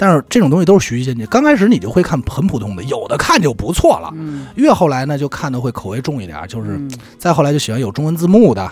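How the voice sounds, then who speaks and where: Over noticeable background noise, a man with a fairly high pitch talks at a very fast pace with very wide pitch swings. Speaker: radio presenter. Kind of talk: interview conversation.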